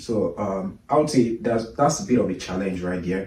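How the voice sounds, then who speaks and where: With a Nigerian accent, a man speaks at a moderate pace in a fairly low, dark, mellow voice that is somewhat breathy, with ordinary pitch variation and audible room echo. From Nigeria, Lagos. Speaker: immigrant interviewee. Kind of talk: interview conversation. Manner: halting, many fillers and repetitions.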